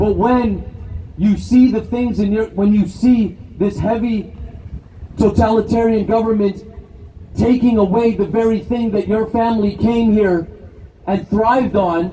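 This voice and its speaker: This man has a Canadian accent and a high pitch. He talks at a fairly slow pace with fairly even intonation and long, frequent pauses. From Canada (immigrated from Brazil as small child). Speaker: political activist. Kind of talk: rally speech. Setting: outdoor rally with crowd.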